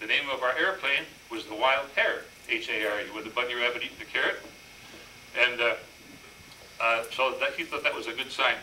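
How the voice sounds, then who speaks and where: A man with an Upper Midwest accent at a fairly quick pace, long and frequent pauses, audible room echo and noticeable background noise. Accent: Upper Midwest American. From Minnesota (Minneapolis). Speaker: war veteran. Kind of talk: presentation. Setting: stage with audience. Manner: fast; halting.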